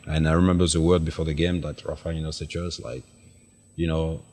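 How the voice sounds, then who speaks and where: A man with a French accent speaks in a very deep, low pitch and a monotone, flat intonation on a very clean recording with a silent background. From France, Paris. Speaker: retired footballer. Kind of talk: interview. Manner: halting.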